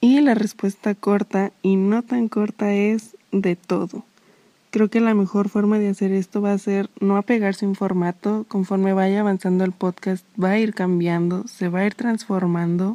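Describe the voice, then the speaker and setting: In a very clean recording with a silent background, a woman speaks with a medium pitch and a dark, mellow tone. Her fairly slow delivery stays monotone and flat at a very even loudness, in a dry, close sound with no echo. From Mexico. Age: 20s. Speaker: podcast host, psychology student. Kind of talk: casual monologue.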